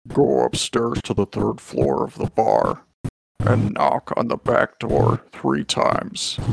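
A robotic, put-on character voice at a fairly slow pace. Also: man, medium pitch for a man.

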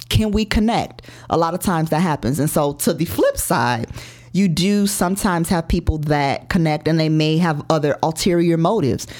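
Over music in the background, a woman with a fairly low pitch talks at a moderate pace, with ordinary pitch variation and very even loudness. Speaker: life and health coach. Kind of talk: interview.

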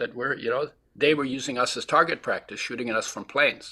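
The pace is moderate as a man talks. His tone sounds bright and sharp. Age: 80s+. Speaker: health educator and author. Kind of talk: interview. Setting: video call.

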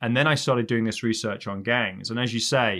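Speaking fairly quickly at a medium pitch, a man with an English accent is heard on a very clean recording against a silent background. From England. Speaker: criminal justice professor. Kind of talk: interview conversation.

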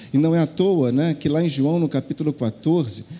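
A man with an unremarkable speaking voice talks fairly slowly at a fairly high pitch with lively intonation. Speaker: pastor. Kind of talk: sermon. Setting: church.

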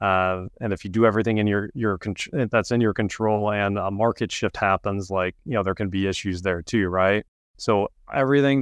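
A man speaks in a plain, everyday voice at a fairly low pitch and moderate pace. The background is quiet, and the sound is dry and close with no echo. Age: 30s. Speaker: real estate investor and fund founder. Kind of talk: interview.

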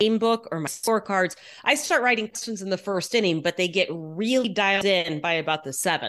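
A woman with an ordinary speaking voice speaks at a medium pitch with lively intonation. The background is quiet. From Texas, Houston. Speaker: sports reporter. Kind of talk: casual interview.

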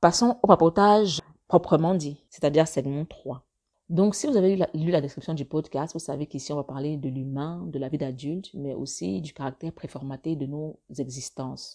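Against a quiet background, a woman with a very deep, low pitch and a dark, mellow tone speaks at a moderate pace, with ordinary pitch variation and big swings in loudness. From Africa. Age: 30s. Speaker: podcaster and blogger. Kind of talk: solo monologue podcast. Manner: halting, near stutter.

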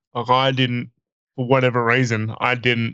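In a dry, close recording with no echo, a man speaks at a medium pitch with a bright, sharp tone and monotone, flat intonation. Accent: Australian. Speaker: podcast co-host and comedian. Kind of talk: casual chat.

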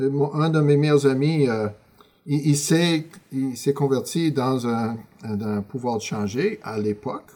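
A man's fairly high-pitched voice with a dark, mellow tone, ordinary pitch variation and a very slow pace. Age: 60s. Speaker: Bible school dean and former youth pastor. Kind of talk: casual interview.

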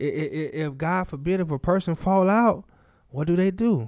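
On a very clean recording with a silent background, a man speaks at a fairly quick pace in a high voice with ordinary pitch variation. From Chicago Heights, Illinois. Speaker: former prisoner. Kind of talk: life story interview. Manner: halting.

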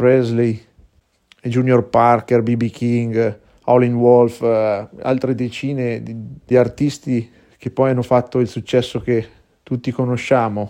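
A man speaks with a medium pitch and a dark, mellow tone. His pace is fairly slow and his intonation monotone and flat. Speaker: blues singer. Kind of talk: recorded testimony.

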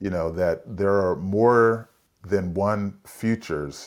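With an American accent, the voice keeps a fairly even intonation on a very clean recording with a silent background. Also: man. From US West Coast, San Francisco. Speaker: leadership consultant and executive coach. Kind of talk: interview conversation.

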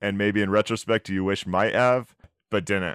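In a very clean recording with a silent background and a dry, close sound with no echo, a man speaks at a fairly low pitch with ordinary pitch variation. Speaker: podcast co-host. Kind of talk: casual interview chat. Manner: enthusiastic, frequent fillers.

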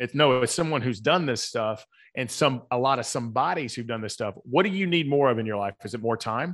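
In a very clean recording with a silent background, a man with a Southern US accent talks at a fairly quick pace, his pitch medium and its variation ordinary. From US South, Atlanta. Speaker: author and coach. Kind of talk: casual interview conversation.

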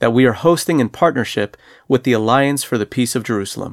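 A man talks at a fairly quick pace in an unremarkable speaking voice, medium in pitch. The recording is very clean and dry, close-up with no echo, against a silent background. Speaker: co-host, regional ministry director. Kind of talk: radio program co-host.

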